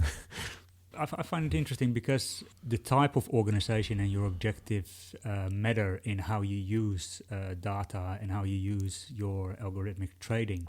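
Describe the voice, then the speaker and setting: A man's fairly low voice comes across a little breathy. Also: ordinary pitch variation, moderate pace, hardly any pauses. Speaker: journalist and podcast interviewer. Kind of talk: podcast interview.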